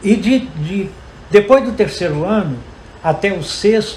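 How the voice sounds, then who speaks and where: A man speaking at a fairly slow pace, with noticeable background noise and audible room echo. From Brazil, Guiricema, Minas Gerais. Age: 80s+. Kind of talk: round-table talk. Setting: university lab, panel before audience.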